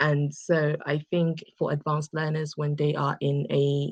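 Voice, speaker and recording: Woman's very deep, low voice, somewhat breathy, with an English accent, monotone and flat, at a fairly slow pace, in a dry, close sound with no echo. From England. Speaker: English conversation tutor. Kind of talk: interview answer.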